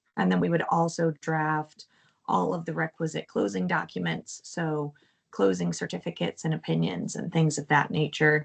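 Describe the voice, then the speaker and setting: At a moderate pace, a woman with a very deep, low pitch and vocal fry speaks with very wide pitch swings. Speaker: bond attorney. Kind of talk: presentation at public meeting. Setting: township board meeting.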